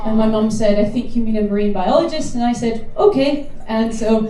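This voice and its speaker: The pace is fairly quick, with ordinary pitch variation. Noticeable background noise runs underneath. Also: woman. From northeast Scotland. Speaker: expedition leader, marine biologist. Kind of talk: welcome talk to passengers. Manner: fast.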